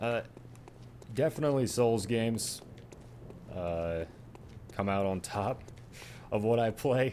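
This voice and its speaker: With long, frequent pauses, a man speaks in a dark, mellow tone. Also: medium pitch for a man, ordinary pitch variation, fairly slow pace. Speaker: gaming streamer. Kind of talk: casual chat.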